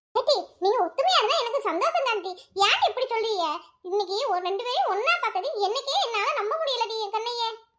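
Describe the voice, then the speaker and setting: This woman uses a cartoonish character voice. Her pitch is extremely high. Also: moderate pace, ordinary pitch variation. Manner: warm, colloquial rural Tamil.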